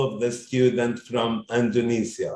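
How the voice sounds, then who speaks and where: This is a man speaking. His voice is somewhat breathy. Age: 50s. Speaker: education consultancy founder. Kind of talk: interview. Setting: video call.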